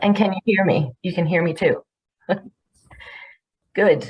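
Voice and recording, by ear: A croaky, put-on character voice from a woman, medium in pitch, at a moderate pace with ordinary pitch variation.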